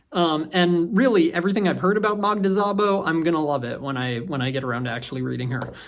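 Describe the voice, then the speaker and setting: The speech races at a very fast pace with hardly any pauses. Noticeable background noise can be heard. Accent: American. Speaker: booktuber. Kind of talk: casual monologue. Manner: halting, many fillers.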